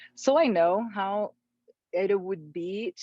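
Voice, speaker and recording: A woman with a Portuguese accent and a medium pitch, in a dry, close sound with no echo. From Brazil. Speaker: life coach, former surgeon. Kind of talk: podcast interview.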